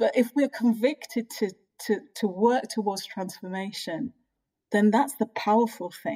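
A somewhat breathy, dark and mellow voice at a fairly slow pace, recorded dry and close with no echo. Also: woman, fairly high pitch for a woman, ordinary pitch variation. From England, of African Caribbean heritage. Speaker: priest and theologian. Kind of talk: interview conversation.

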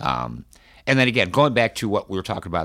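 Vocal fry runs through a man's speech. His pitch rises and falls very widely. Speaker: cancer survivor and internet radio host. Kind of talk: interview. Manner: energetic, lively.

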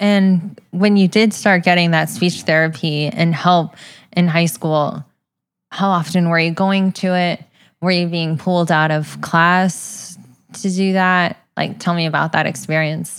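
A woman with an unremarkable speaking voice, fairly low in pitch, at a fairly slow pace and very even loudness. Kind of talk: interview. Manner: warm, encouraging.

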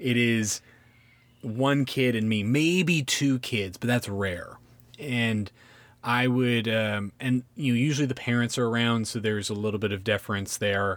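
A man talks in an ordinary speaking voice with a General American accent. The recording is very clean, with a silent background. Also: medium pitch for a man, ordinary pitch variation, fairly slow pace. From San Francisco Bay Area. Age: 40s. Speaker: comedian and podcast host. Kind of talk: casual chat.

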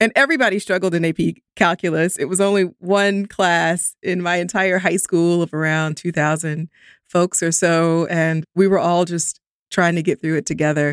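A woman with an American accent has an unremarkable speaking voice at a fairly low pitch. The sound is dry and close with no echo, and her intonation is fairly even. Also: moderate pace, very clean recording, silent background. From US South, Columbus, Georgia. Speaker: statistician and math professor. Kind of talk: interview conversation.

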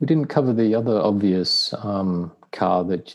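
A man with an Australian accent speaks at a fairly slow pace. His pitch is fairly low. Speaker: car owner. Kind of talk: casual chat. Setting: video call.

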